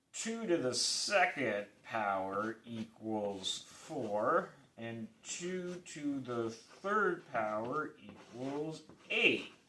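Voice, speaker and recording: A man's medium-pitched voice at a very slow pace, with very wide pitch swings and noticeable background noise. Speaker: math video creator. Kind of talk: informal math explanation. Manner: halting, self-correcting; casual, rambling with fillers.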